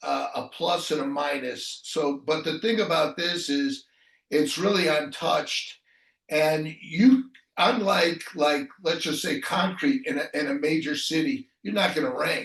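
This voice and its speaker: The speaker is a man with a fairly high pitch. He talks at a fairly slow pace with lively intonation. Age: 60s. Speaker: retired online entrepreneur, website rental business. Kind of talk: interview answer. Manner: hesitant, many fillers.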